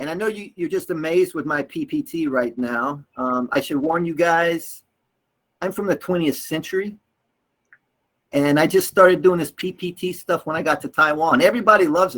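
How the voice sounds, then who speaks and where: This man speaks with an American accent and a high pitch. His pace is moderate. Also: ordinary pitch variation. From US South, North Carolina. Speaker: English teacher trainer. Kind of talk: workshop lecture. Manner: animated.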